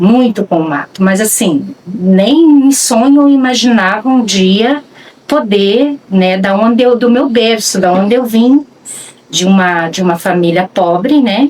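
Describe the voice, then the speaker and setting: The speech comes at a fairly slow pace with lively intonation over noticeable background noise. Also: woman, fairly high pitch for a woman. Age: 60s. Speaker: rural land guardian. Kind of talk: documentary interview testimony. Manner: halting, with frequent fillers.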